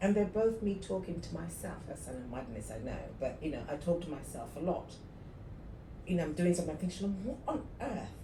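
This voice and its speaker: With a fairly low pitch, a woman talks fairly quickly in an animated tone and lively intonation, with audible room echo and noticeable background noise. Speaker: podcast co-host, entrepreneur. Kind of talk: casual chat.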